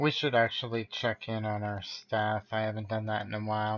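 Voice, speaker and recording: In a normal speaking voice, a man talks at medium pitch and a moderate pace. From Canada. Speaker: gaming youtuber. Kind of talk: gameplay commentary. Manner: relaxed, conversational.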